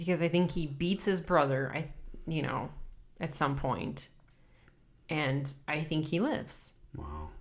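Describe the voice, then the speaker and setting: Using a very deep, low pitch with vocal fry, a woman speaks at a fairly slow pace with long, frequent pauses and fairly even intonation. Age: 30s. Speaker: podcast co-host. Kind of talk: casual chat.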